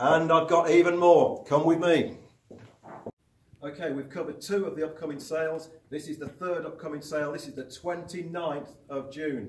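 With audible room echo and light background noise, a man talks at a moderate pace in a fairly high pitch, showing ordinary pitch variation and big swings in loudness. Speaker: auctioneer. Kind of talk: promotional presentation to camera for an auction house. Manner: upbeat, brisk, enthusiastic. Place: hall.

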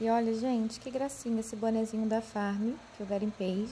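Over light background noise, a woman talks with monotone, flat intonation. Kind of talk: casual vlog chat. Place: home room. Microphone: phone near.

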